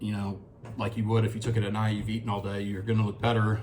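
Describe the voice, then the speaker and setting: A man with a fairly low, somewhat breathy voice speaks in a flat monotone. There is audible echo from the room. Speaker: fitness vlogger. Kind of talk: casual video diary. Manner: halting.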